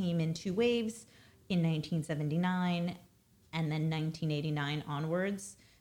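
On a very clean recording with a silent background, a woman with an American accent and a very deep, low pitch talks at a moderate pace with fairly even intonation. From Brooklyn, New York. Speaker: business executive and mother. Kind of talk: casual interview. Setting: in the host's home, six feet apart.

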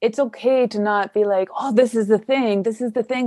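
In a Canadian accent, a woman with an ordinary speaking voice talks at a moderate pace, her fairly high pitch held in fairly even intonation. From Canada. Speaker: podcast host. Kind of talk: scripted narration; interview conversation.

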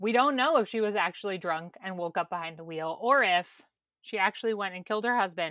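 A woman speaks at a medium pitch with lively intonation and a fairly quick pace. Her tone is bright and sharp, on a very clean recording with a silent background. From Kentucky. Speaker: podcast host. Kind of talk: casual chat.

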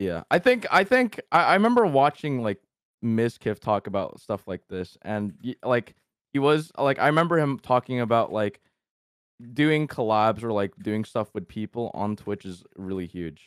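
An ordinary speaking voice from a man, medium in pitch at a moderate pace, with a dry, close sound with no echo and a very clean recording against a silent background. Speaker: YouTuber and streamer. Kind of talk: casual chat.

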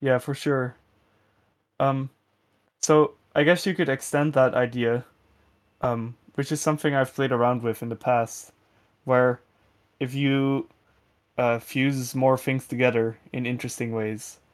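With a Dutch accent, a man speaks at a medium pitch and a fairly slow pace, leaving long, frequent pauses on a very clean recording with a silent background. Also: fairly even intonation. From Netherlands. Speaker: music producer. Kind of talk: interview. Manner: hesitant, many fillers.

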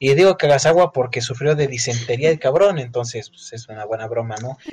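The speaker has a Mexican accent and a somewhat breathy voice. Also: man. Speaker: podcast co-host. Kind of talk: casual chat.

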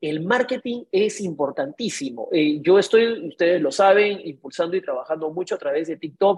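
This is an unremarkable speaking voice from a woman at medium pitch. Her intonation is lively. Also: moderate pace. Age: 50s. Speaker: real estate broker and show host. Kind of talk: live online talk with audience. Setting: video call.

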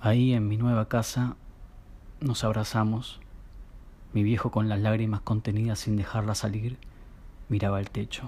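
On a very clean recording with a silent background, a man with a Rioplatense accent speaks in a calm, dark, mellow tone that is somewhat breathy, his fairly low pitch flat and monotone, with long, frequent pauses. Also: moderate pace. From Argentina, Buenos Aires area. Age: 30s. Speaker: storyteller. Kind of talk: personal narrative reading. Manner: calm, intimate.

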